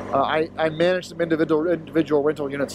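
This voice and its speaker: A man talks very fast at a fairly high pitch. The sound is dry with no echo, with noticeable background noise. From Florida. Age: 30s. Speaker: motorcycle vlogger. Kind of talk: vlog monologue while riding. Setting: outdoors on a motorcycle. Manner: halting, many fillers. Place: motorbike. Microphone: helmet.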